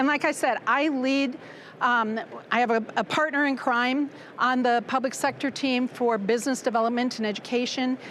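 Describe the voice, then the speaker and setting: A woman with a Midwestern American accent, high in pitch, with fairly even intonation and very even loudness. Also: moderate pace. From US Midwest, Nebraska. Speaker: former educator, business development manager. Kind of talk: conference presentation. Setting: conference stage with audience. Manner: projecting teacher voice.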